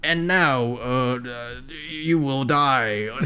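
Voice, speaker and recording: Over light background noise, a man puts on a character voice at a medium pitch with ordinary pitch variation. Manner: menacing, villainous.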